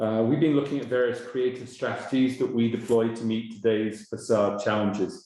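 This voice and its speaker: A man speaks at a medium pitch with an English accent and fairly even intonation, his voice carrying audible room echo. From England. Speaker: webinar moderator. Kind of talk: webinar introduction. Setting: online webinar.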